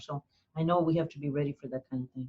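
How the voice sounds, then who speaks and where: Somewhat breathy and dark, mellow in tone, a woman talks with a very deep, low pitch and fairly even intonation. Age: 70s. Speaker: community college board president. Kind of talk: interview. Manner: halting.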